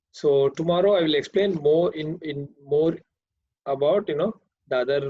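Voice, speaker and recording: A man with a Karnataka accent. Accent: Indian English, Kannada. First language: Kannada. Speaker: programming teacher. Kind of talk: online class lecture. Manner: hesitant, many fillers.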